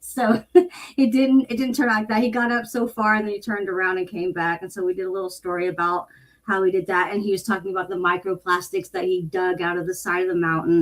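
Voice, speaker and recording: A woman with a plain, everyday voice, medium pitch, ordinary pitch variation and an American accent. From United States (Midwest). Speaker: content strategist and copywriter. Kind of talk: casual interview answer, candid and profane. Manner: blunt, no-nonsense, fast.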